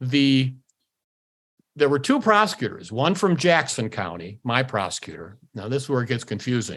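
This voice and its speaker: On a very clean recording with a silent background, a man with an American accent talks at a moderate pace, his pitch swinging very widely. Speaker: law professor and former attorney. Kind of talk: interview storytelling. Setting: podcast interview. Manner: animated.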